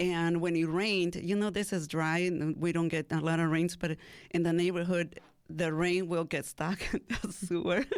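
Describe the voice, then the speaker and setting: In a Mexican accent, a woman with a fairly low pitch talks at a moderate pace in a monotone, flat intonation and very even loudness, on a very clean recording with a silent background. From Mexico, Mexicali, Baja California. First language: Spanish. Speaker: cafe owner. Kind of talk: radio interview.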